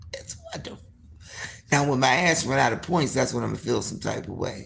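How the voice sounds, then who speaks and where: Fairly quick speech with big swings in loudness, audible room echo and noticeable background noise. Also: woman. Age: 60s. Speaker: livestream host. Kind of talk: casual chat. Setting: livestream.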